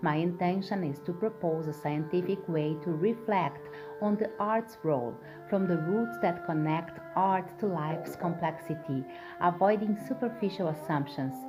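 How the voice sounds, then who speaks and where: With music in the background, a woman with a non-native accent speaks at a fairly low pitch with ordinary pitch variation. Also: moderate pace. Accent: non-native English speaker. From Brazil. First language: Portuguese. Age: middle-aged. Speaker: artist and researcher. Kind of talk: academic research presentation.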